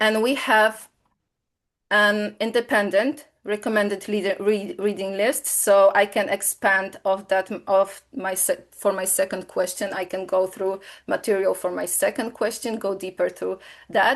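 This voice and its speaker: Over a quiet background, a woman with a Polish accent speaks at medium pitch and a fairly slow pace, with fairly even intonation. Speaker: software presenter. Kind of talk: webinar product demo. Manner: halting, many fillers.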